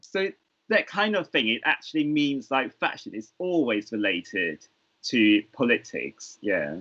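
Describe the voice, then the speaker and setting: A man's medium-pitched voice with very wide pitch swings, at a fairly slow pace. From Hong Kong. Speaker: fashion designer. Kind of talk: panel discussion on video call.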